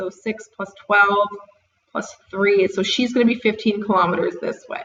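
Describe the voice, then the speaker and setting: A woman's ordinary speaking voice, fairly high in pitch, at a moderate pace with fairly even intonation. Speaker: math teacher. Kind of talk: tutorial.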